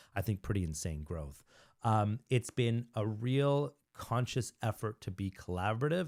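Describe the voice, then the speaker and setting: Here a man uses an ordinary speaking voice, medium in pitch, with lively intonation and a fairly slow pace. The recording is very clean with a silent background, the sound dry and close with no echo. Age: 40s. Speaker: real estate agent and brokerage leader. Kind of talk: casual podcast interview.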